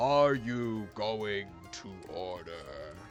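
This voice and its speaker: A man's put-on character voice over clear music in the background. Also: fairly low pitch for a man. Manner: very loud, booming.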